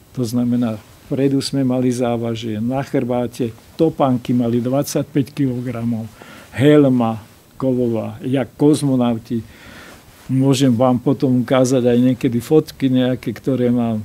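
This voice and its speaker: Speaking fairly slowly, a man keeps a medium pitch in a flat, monotone delivery. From Slovakia. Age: 80s+. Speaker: karate master. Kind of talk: interview. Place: studio.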